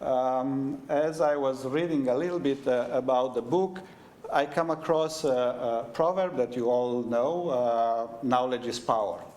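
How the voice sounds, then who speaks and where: A man's medium-pitched voice with a Romanian accent, at a fairly slow pace with ordinary pitch variation, over noticeable background noise. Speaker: head of university school. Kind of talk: event welcome speech. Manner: halting, many fillers.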